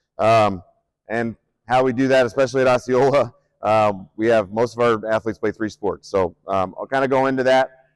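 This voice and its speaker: With a Midwestern US accent, a man talks at a fairly quick pace and a medium pitch, his intonation fairly even and the sound dry and close with no echo. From Nebraska, Omaha. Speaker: strength coach and athletic director. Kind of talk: conference presentation. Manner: hesitant, many fillers; loud projecting coaching voice.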